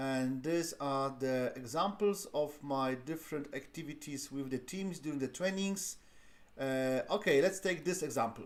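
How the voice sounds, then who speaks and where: A man with a non-native accent speaks at a moderate pace, his fairly high pitch moving with ordinary variation. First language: not English. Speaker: lean six sigma trainer. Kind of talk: live-streamed tutorial. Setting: live stream. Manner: halting, many fillers.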